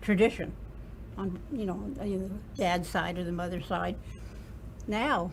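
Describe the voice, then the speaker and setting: A woman in an American accent, fairly slow with long, frequent pauses, in a room with audible echo. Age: 80s+. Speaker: interview guest. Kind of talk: interview. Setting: studio.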